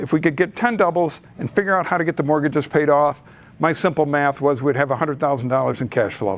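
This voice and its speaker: A man with a plain, everyday voice and an American accent, fairly high in pitch with ordinary variation, at a fairly quick pace against a quiet background. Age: 60s. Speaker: real estate investor, presenter. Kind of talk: presentation at a meeting.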